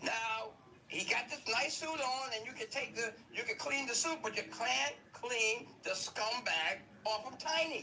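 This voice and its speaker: His voice is raised and projected, with an extremely high pitch for a man. He speaks at a fairly slow pace with ordinary pitch variation. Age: 60s. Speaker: online commentator. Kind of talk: commentary monologue.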